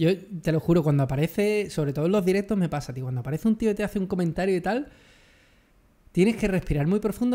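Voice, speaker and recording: This man talks at a very fast pace in a high pitch with lively intonation. His tone is dark and mellow. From Andalusia, Jerez de la Frontera (Cádiz); Andalusia. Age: 30s. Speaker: photography youtuber. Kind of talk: casual chat. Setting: video call. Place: home room. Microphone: studio mic.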